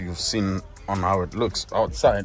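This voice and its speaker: A man speaking over music in the background. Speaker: car vlogger. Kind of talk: vlog voiceover. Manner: mumbling; casual, repetitive.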